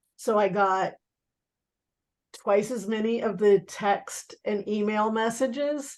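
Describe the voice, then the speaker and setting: A woman speaks in a normal speaking voice, pitched fairly high. Her intonation stays fairly even. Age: 60s. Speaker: network marketing team member. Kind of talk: team video call discussion. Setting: video call.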